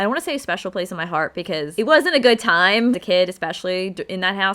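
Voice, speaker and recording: With a Philadelphia accent, a woman speaks at a fairly low pitch with ordinary pitch variation. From Philadelphia, South Philly. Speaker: podcast host. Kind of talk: casual podcast monologue.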